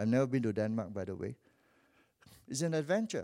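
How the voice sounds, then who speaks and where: Over a silent background in a very clean recording, a man speaks with a Malaysian accent. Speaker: visiting preacher. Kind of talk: sermon. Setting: church. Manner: animated.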